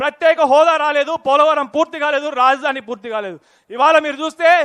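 Recorded dry and close with no echo, a man speaks at an extremely high pitch with a bright, sharp tone and fairly even intonation. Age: 30s. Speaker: politician. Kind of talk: political rally speech.

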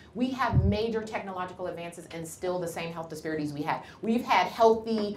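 A woman with an American accent uses lively intonation, with audible room echo and light background noise. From Cleveland, Ohio, US; Ohio. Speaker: physician; guest. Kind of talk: lecture. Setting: lecture hall with audience. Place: classroom.

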